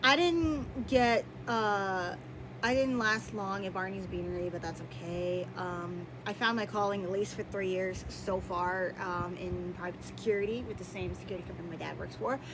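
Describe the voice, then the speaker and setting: Room echo can be heard around her. The woman talks at a moderate pace. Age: 30s. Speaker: YouTuber. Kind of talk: casual chat. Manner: loud; halting.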